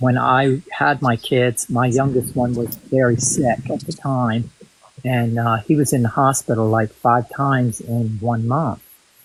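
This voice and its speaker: With an ordinary speaking voice, a man talks fairly slowly at medium pitch and with fairly even intonation. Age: 60s. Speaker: guest on livestream. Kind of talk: casual chat. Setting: livestream.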